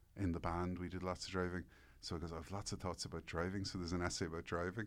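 In an Irish accent, a man speaks with a very deep, low pitch. His intonation stays monotone and flat. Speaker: newspaper columnist and author. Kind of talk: casual interview chat.

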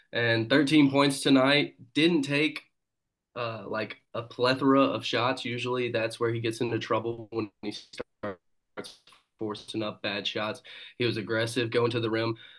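A man has a plain, everyday voice at a medium pitch. His intonation stays fairly even. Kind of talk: casual chat. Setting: video call.

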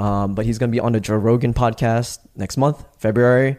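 His tone dark and mellow, a man talks at a middling speed. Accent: New York. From New York. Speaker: activist. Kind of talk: casual chat.

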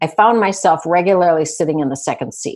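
A woman with an unremarkable speaking voice talks at a fairly low pitch. Her intonation is lively, and the background is quiet. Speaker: retired real estate executive. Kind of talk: casual interview conversation.

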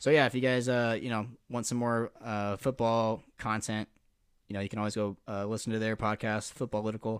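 A man's medium-pitched voice with an American accent, fairly quick and monotone with flat intonation, on a very clean recording with a silent background. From Nebraska, US Midwest. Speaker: sports podcast co-host. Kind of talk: casual chat.

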